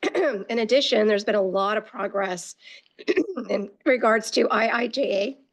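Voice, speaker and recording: This put-on character voice comes out hoarse and raspy, moving at a moderate pace with ordinary pitch variation. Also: woman, fairly high pitch for a woman. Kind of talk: formal meeting talk.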